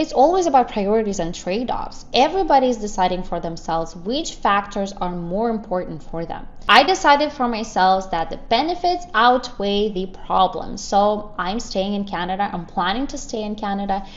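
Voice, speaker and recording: A woman with a Russian accent, lively intonation and hardly any pauses, in audible room echo. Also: medium pitch for a woman, moderate pace. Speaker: YouTuber. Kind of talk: vlog commentary.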